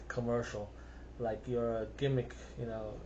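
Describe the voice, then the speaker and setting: A man with a slight South African accent speaks at a moderate pace. Audible room echo is present. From South Africa, Cape Town. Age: 50s. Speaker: singer-songwriter. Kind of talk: casual monologue. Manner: unscripted, rambling with hesitations.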